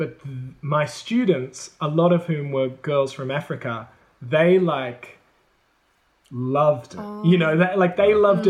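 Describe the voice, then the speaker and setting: A man with an Australian accent, fairly high-pitched, at a fairly slow pace with ordinary pitch variation. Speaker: former high school English and drama teacher. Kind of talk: casual chat.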